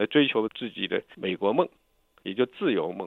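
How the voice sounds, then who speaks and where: A man is speaking. He keeps a moderate pace. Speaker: lawyer and exiled dissident. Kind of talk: interview. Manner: halting.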